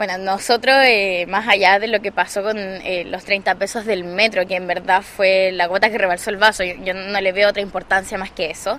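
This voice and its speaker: A woman talks at a medium pitch and moderate pace as noticeable background noise runs underneath. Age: 20s. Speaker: student leader. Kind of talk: interview.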